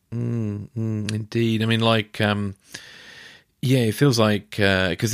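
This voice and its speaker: A man with a British accent talks at a moderate pace in a fairly low pitch. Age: 40s. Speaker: podcast host. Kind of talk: interview.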